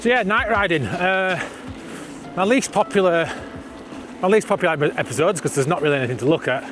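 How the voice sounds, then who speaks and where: With music in the background, a man talks at a very fast pace in a Yorkshire accent. His pitch is high and his intonation lively. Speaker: vlogger, e-bike rider. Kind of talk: casual vlog monologue. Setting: outdoors on a bike at night.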